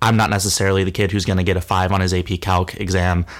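A man with an American accent, very deep and low in pitch, monotone and flat, at a fairly quick pace. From Oregon, US West Coast. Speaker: student entrepreneur, app founder. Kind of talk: interview.

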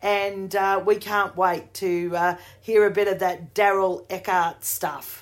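A woman's medium-pitched voice in an Australian accent, flat and monotone, at a very slow pace, on a very clean recording with a silent background. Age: 50s. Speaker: podcast host and singer. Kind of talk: interview.

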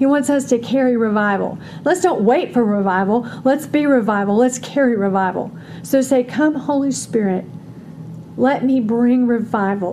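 Very even loudness and ordinary pitch variation, with noticeable background noise. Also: woman, high pitch for a woman, moderate pace. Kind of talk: fervent prayer. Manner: fervent, earnest, praying.

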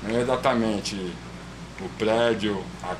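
A man speaks at a fairly low pitch in a monotone, flat intonation. Noticeable background noise and audible room echo are present. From São Paulo east zone, Cidade Tiradentes. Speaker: street artist and painter. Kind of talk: casual interview.

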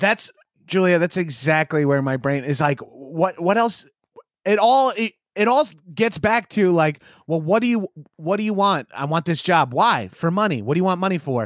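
Here a man with a Long Island accent speaks in a high pitch with lively intonation. The sound is dry and close, with no echo. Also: moderate pace. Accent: New York, Long Island. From Long Island, New York. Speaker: comedian and podcaster. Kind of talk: casual interview chat. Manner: animated, laughing, casual.

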